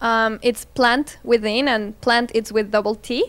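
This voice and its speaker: A woman with a Spanish accent, high in pitch, at a fairly slow pace, on a very clean recording with a silent background. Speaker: plant business owner. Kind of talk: interview.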